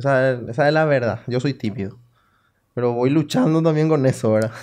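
Against a quiet background, this is an unremarkable speaking voice. It moves at a fairly quick pace with ordinary pitch variation. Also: man. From Paraguay, Salto del Guairá. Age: 30s. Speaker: local politician. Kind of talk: casual interview.

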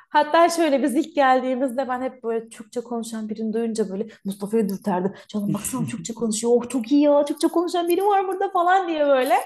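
A woman talks at a fairly quick pace with hardly any pauses, her high pitch swinging very widely over noticeable background noise. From Turkey. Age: 30s. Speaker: migration consultant. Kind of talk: casual interview chat.

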